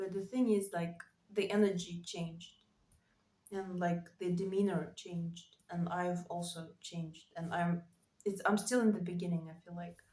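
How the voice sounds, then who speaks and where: A woman's somewhat breathy, fairly low-pitched voice in a dark, mellow tone with monotone, flat intonation. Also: moderate pace. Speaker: writer vlogger. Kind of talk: casual monologue vlog. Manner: halting, many fillers.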